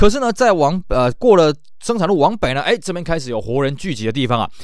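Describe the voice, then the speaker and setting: A man talking at a very fast pace, his pitch swinging very widely. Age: middle-aged. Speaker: podcast host. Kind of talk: casual monologue.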